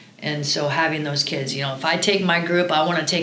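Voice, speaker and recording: A woman with a very deep, low pitch and an American accent speaks at a very fast pace in a monotone, flat intonation, with noticeable background noise and audible room echo. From Iowa, Cedar Rapids. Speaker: college volleyball coach. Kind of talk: podcast interview.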